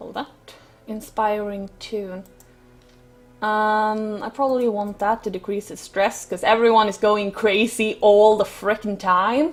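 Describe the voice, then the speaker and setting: A woman's fairly high voice at a fairly slow pace, with big swings in loudness and music in the background. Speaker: gaming YouTuber. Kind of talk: let's play commentary. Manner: hesitant, many fillers.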